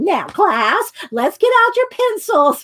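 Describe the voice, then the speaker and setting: Someone uses a put-on character voice with an extremely high pitch at a very slow pace. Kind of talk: over-clear, teacherly. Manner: clear, deliberate.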